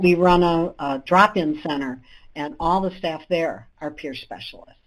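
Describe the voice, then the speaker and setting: At a fairly slow pace, a woman with a fairly low pitch speaks with ordinary pitch variation and big swings in loudness. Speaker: independent living center director. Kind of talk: webinar presentation. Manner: halting.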